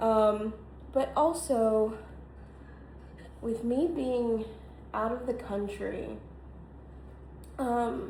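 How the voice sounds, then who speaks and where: With an American accent, a somewhat breathy woman with a fairly high pitch and ordinary pitch variation speaks at a very slow pace with long, frequent pauses amid audible room echo. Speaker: content creator. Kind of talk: casual vlog monologue. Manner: halting, many fillers.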